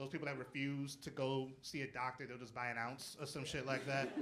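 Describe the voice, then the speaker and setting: There is audible room echo as a man speaks in a bright, sharp tone. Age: 30s. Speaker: stand-up comedian. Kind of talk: stand-up. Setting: stage with audience. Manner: animated.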